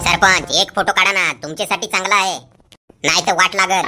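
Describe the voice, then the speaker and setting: A man does a cartoonish character voice, high-pitched and monotone, at a moderate pace. Faint music plays in the background. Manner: blunt, cheeky.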